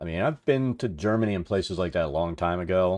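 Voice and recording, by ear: A man speaks at a low pitch and a fairly quick pace. His intonation is lively and his tone slightly mellow.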